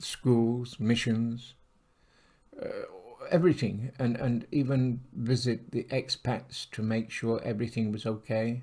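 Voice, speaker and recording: A man speaks in a medium pitch with a dark, mellow tone. His delivery is fairly slow, with fairly even intonation. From England. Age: 70s. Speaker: retired police officer. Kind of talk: casual monologue. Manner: halting.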